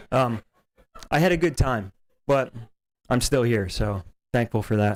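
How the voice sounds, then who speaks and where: A man uses an ordinary speaking voice at a medium pitch, with ordinary pitch variation and very even loudness. The pace is fairly slow, and the sound is dry and close with no echo. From New Jersey, Hopewell area. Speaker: local resident speaking at public comment. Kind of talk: public comment at school board meeting.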